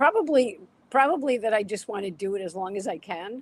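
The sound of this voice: Lively intonation carries a slightly husky edge. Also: woman, medium pitch for a woman, fairly quick pace.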